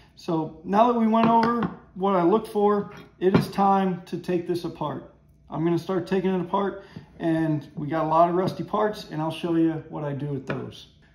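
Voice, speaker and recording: Over audible room echo, a man speaks at a moderate pace with a high pitch and ordinary pitch variation. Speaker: woodworking hobbyist host. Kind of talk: tutorial. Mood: relaxed, enthusiastic. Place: workshop. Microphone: camera far.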